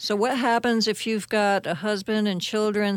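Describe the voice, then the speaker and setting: A woman with a plain, everyday voice speaks at a medium pitch and a moderate pace. The recording is very clean, with a silent background. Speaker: radio host. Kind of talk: casual interview.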